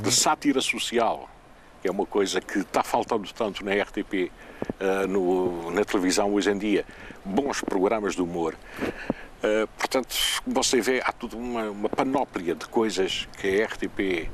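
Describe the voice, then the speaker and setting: A man's fairly low voice at a fairly slow pace, with ordinary pitch variation, against noticeable background noise. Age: 60s. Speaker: retired television presenter. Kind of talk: interview.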